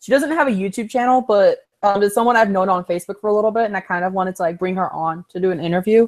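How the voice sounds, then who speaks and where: A woman with an American accent rushes along at a very fast pace with hardly any pauses. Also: medium pitch for a woman, ordinary pitch variation. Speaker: YouTuber interviewer. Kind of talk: casual interview chat. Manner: loud.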